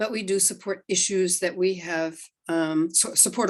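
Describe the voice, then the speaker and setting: A woman with an ordinary speaking voice talks at a moderate pace and a medium pitch. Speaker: event organizer. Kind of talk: event announcements.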